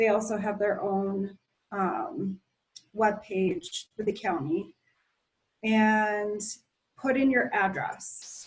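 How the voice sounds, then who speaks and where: Slow, somewhat breathy speech from a woman in a medium pitch, with ordinary pitch variation and long, frequent pauses at a very slow pace. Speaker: county planning staff presenter. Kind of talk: online meeting presentation.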